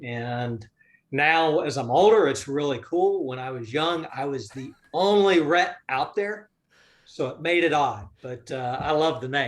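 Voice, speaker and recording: With a Southern US accent, a man speaks at a fairly slow pace using lively intonation. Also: fairly high pitch for a man. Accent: Southern US, mild. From US South, North Florida. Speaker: business investor. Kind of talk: interview.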